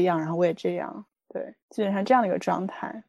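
Very fast speech comes from a woman with lively intonation. Her tone is dark and mellow. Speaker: life coach. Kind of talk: interview conversation.

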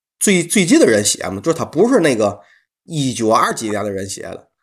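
A man with a Tianjin accent, fairly high pitch, very wide pitch swings, vocal fry and a fairly quick pace, over a quiet background. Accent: Tianjin dialect, Mandarin. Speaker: podcast host. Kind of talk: casual chat.

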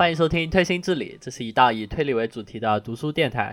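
Speech in a strong southern Chinese accent comes at a very fast pace with ordinary pitch variation. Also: man. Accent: strong southern Chinese accent in Mandarin. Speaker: podcast co-host. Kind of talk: casual chat. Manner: hesitant, many fillers.

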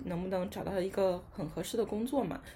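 The voice is somewhat breathy with a dark, mellow tone. It moves at a fairly quick pace with ordinary pitch variation. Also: woman. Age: 20s. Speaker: young office worker. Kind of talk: casual chat.

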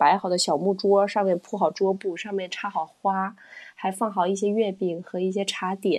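At a moderate pace, a woman speaks at medium pitch in a plain, everyday voice. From China, Wenzhou. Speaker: former esports event host. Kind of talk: casual chat.

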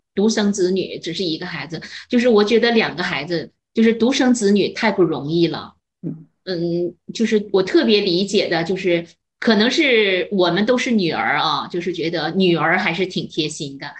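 Using an unremarkable speaking voice, a woman speaks at a moderate pace and medium pitch with ordinary pitch variation. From northern China. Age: 50s. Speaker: retired chemistry teacher. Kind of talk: casual chat.

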